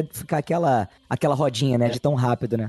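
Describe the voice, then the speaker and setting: A man's dark, mellow, somewhat breathy voice with ordinary pitch variation, in a dry, close sound with no echo. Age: 30s. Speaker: podcaster guest. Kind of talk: casual chat.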